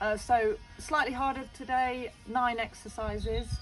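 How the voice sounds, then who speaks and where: Music plays faintly behind the voice. The speaker is a woman. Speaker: fitness instructor. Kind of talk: casual exercise tutorial. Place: garden. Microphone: phone near.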